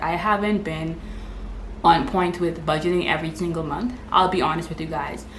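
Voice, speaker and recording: A woman with a Bahamian accent, amid noticeable background noise and audible room echo. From Bahamas. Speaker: lifestyle vlogger. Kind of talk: casual vlog talk to camera. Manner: fast.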